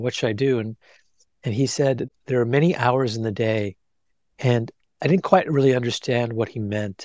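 Delivered at a moderate pace with long, frequent pauses and ordinary pitch variation, the speech comes through a very clean recording with a silent background and a dry, close sound with no echo. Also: man, medium pitch for a man. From US, Indian immigrant family. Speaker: cardiologist and author. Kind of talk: casual interview.

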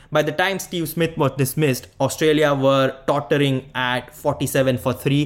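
A man talks with hardly any pauses. He has an ordinary speaking voice and a fairly high pitch. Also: fairly even intonation, moderate pace. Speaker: podcast host. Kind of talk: post-match cricket analysis, recap-style commentary.

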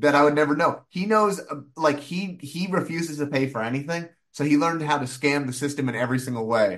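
A man's fairly high-pitched, ordinary speaking voice with ordinary pitch variation. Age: 30s. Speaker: comedian. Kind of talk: casual chat.

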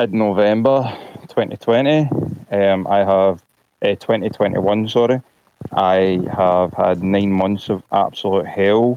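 Very slowly and at a very even loudness, a man speaks in a Glaswegian accent with ordinary pitch variation. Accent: Glaswegian Scottish. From Scotland, Glasgow. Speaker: caller, vaccine-injured patient. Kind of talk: testimony. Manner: halting.

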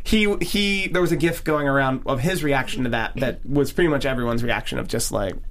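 Against noticeable background noise and audible room echo, a man talks at a fairly quick pace and fairly high pitch, with lively intonation, very even loudness and hardly any pauses. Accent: American. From Philadelphia, US. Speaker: podcast host. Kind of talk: casual chat.

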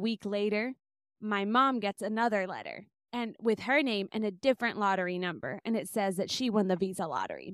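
A woman with an American accent and a normal speaking voice, fairly high in pitch, fairly quick, with ordinary pitch variation, in a dry, close sound with no echo and a very clean recording with a silent background. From US, Bay Area, northern California. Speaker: musician and music teacher. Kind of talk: interview.

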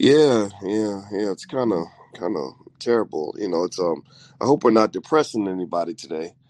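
A man speaks at a moderate pace with lively intonation and a slightly mellow tone. His pitch is low, and the sound is dry and close with no echo.

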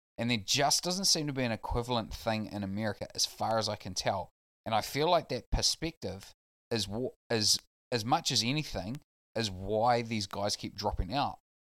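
This man speaks with a New Zealand accent at a moderate pace and medium pitch. His pitch variation is ordinary, and the recording is very clean with a silent background. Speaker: basketball podcast panelist. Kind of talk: casual chat.

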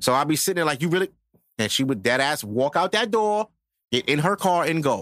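At a fairly quick pace and very even loudness, a man speaks with very wide pitch swings on a very clean recording with a silent background and a dry, close sound with no echo. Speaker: podcast host. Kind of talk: casual chat.

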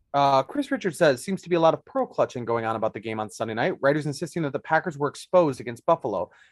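With an American accent and lively intonation, a man with a fairly high pitch speaks at a very fast pace with hardly any pauses, in a dry, close sound with no echo over a quiet background. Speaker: sports reporter. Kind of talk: casual chat.

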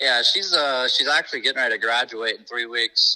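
A man with a US Midwestern accent talks at a fairly quick pace. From Indiana, US Midwest. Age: 20s. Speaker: race car driver. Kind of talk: casual interview.

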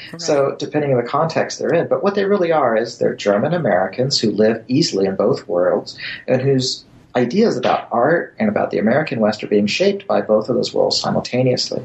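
A man's medium-pitched, somewhat breathy voice at a fairly quick pace, with very wide pitch swings. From born in Germany to US military family. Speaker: history professor. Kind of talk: interview. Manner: halting.

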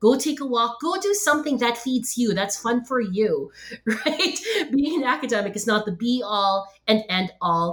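A woman has an unremarkable speaking voice. Her pitch is fairly high, and her intonation is lively. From Philippines and Hong Kong, then Canada from 1999. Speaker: professor and podcast host. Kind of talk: interview conversation. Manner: many fillers and repetitions.

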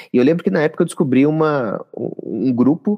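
Lively intonation from a man with a dark, mellow tone, the sound dry and close with no echo. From Minas Gerais, Brazil. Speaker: psychologist. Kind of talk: interview. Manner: halting.

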